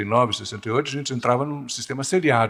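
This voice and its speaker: The recording is very clean with a silent background, and the man's medium-pitched voice varies in an ordinary way. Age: 70s. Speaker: professor, group dynamics specialist. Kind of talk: conference lecture. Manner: conversational, addresses audience with questions.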